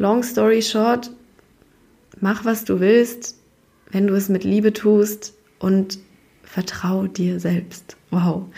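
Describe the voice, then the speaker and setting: A woman speaks at a very slow pace with a medium pitch, monotone, flat intonation, and long, frequent pauses. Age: 20s. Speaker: podcast host. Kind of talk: casual monologue. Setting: office. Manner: casual, chatty.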